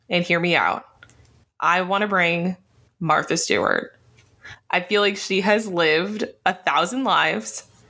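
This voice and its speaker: This woman's tone is bright and sharp. Her pitch varies in an ordinary way. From Jamaican immigrant family. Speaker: podcast host. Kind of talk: casual chat.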